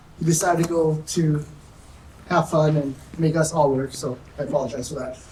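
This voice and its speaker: Noticeable background noise runs through the clip. The delivery is fairly quick. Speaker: sheriff's deputy. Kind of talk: community safety presentation. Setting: church hall meeting with audience. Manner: trying to speak loudly.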